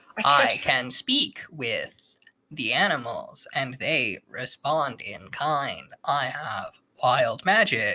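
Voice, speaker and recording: A put-on character voice at a low-to-middle pitch moves at a very slow pace. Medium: actual play. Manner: terse broken speech, no contractions.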